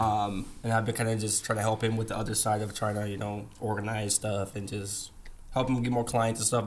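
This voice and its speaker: Very fast speech comes from a man with a medium pitch and monotone, flat intonation. Audible room echo surrounds his voice. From Netherlands. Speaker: video production business partner. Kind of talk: casual podcast interview.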